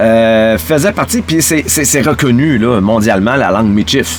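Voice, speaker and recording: A man talks at a moderate speed, his pitch swinging very widely, with noticeable background noise behind him. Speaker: podcast host. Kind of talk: casual monologue. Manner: halting, many fillers and repeats.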